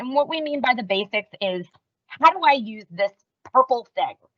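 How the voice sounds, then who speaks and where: A woman's high-pitched voice, bright and sharp in tone, with lively intonation and a dry, close sound with no echo. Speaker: software training presenter. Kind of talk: webinar presentation. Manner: fast.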